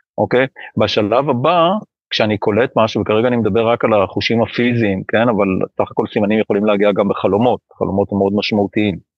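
At a fairly quick pace, a man speaks with fairly low pitch, ordinary pitch variation and very even loudness. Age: 60s. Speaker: spiritual teacher, founder of a spiritual organization. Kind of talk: interview about spirituality and coping. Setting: live online broadcast. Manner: halting with repetitions.

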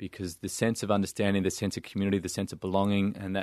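A man talks in an Australian accent. The sound is dry and close with no echo, over a quiet background. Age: 30s. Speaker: charity founder. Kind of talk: casual interview.

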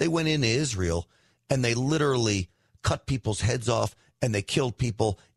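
A somewhat breathy man with an American accent, lively intonation and a moderate pace, recorded dry and close with no echo against a quiet background. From New York. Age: 50s. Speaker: talk radio host. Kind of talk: political commentary.

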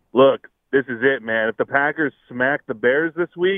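A man with an American accent has a plain, everyday voice, a medium pitch, ordinary pitch variation and a moderate pace. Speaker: caller. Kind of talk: call-in sports talk. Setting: phone call.

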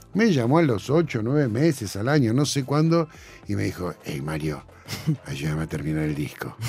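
Music plays behind a man talking at a moderate pace. His medium-pitched voice swings very widely in pitch. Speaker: sound engineer and music producer. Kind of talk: casual interview chat.

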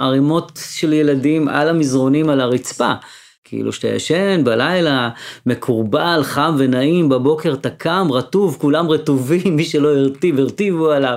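Using an unremarkable speaking voice, a man talks at a fairly high pitch and a fairly slow pace, with ordinary pitch variation and very even loudness. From Sderot, Israel (Moroccan family). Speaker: musician. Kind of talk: interview storytelling.

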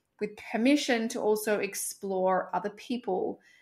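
A woman with a normal speaking voice speaks at a fairly slow pace, medium in pitch with ordinary pitch variation, on a very clean recording with a silent background. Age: 30s. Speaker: sex coach. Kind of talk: casual chat.

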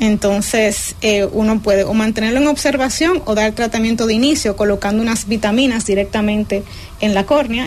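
Noticeable background noise sits behind a woman who talks at a moderate pace in a fairly high voice. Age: young. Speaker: ophthalmologist. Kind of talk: radio health interview.

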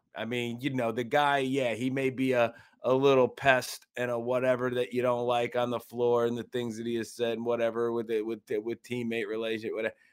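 With hardly any pauses, a man speaks in a normal speaking voice at a medium pitch. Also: fairly quick pace. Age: 40s. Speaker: sports radio co-host. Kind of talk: sports talk radio banter. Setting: radio studio. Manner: relaxed, conversational, upbeat.

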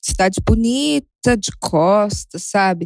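A woman speaks very slowly at a medium pitch with ordinary pitch variation, in a dry, close sound with no echo. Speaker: listener sharing a story. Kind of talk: recorded voice message. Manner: animated.

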